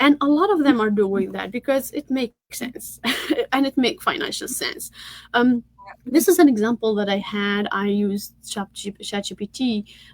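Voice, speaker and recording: In a dry, close recording with no echo but noticeable background noise, a woman with a high voice talks at a moderate pace with lively intonation. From Tunisia. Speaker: tech entrepreneur and workshop speaker. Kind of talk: online workshop presentation. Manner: halting, many fillers and repeats.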